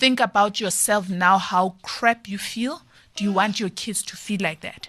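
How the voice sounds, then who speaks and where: Over noticeable background noise, a woman of medium pitch speaks at a fairly slow pace with ordinary pitch variation. Her loudness swings widely. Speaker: parenting guest speaker. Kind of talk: podcast interview. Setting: studio.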